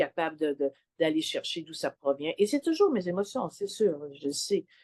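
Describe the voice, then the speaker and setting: A woman with a Quebec accent in a dry, close sound with no echo. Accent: Québécois French. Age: 60s. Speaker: client sharing testimonial. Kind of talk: testimony interview. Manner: halting, many hesitations.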